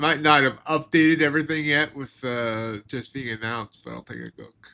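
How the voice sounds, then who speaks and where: Speaking with an American accent, the voice has a bright, sharp tone, big swings in loudness, ordinary pitch variation and a moderate pace. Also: man. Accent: slight Pennsylvania Dutch at times. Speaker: futures trader streamer. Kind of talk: live trading commentary. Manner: casual, halting.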